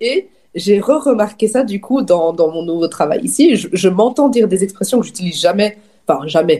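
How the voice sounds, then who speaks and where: A woman speaks at a fairly quick pace with a dark, mellow tone. Her voice is somewhat breathy and moves in very wide pitch swings. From Wallonia, Belgium (Dinant, Namur region). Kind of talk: casual chat.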